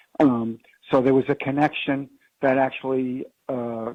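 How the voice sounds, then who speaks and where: A man with an American accent, medium pitch, and monotone, flat intonation at a fairly slow pace. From Long Island, New York. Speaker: father of a son lost to addiction. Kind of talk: radio interview.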